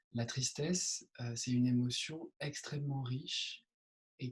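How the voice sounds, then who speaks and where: Somewhat breathy male speech at a medium pitch, fairly slow and fairly even in intonation. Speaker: meditation teacher. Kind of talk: meditation Q&A session. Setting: video call. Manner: soft-spoken; hesitant with many fillers.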